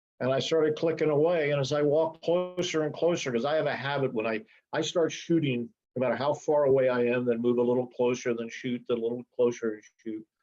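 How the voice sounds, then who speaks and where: Speaking very fast, a man uses a medium pitch and ordinary pitch variation. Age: 70s. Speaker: wildlife photographer. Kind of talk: presentation talk. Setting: video call. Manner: casual storytelling.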